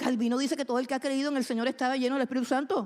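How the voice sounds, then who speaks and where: On a very clean recording with a silent background, a woman speaks in a high pitch. Her tone is animated. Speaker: preacher. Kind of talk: sermon. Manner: fast.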